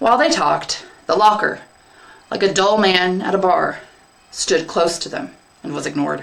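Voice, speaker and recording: A woman with a medium pitch and lively intonation talks at a moderate pace, with long, frequent pauses. Noticeable background noise runs underneath. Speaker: English teacher. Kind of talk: third-person narration in story reading.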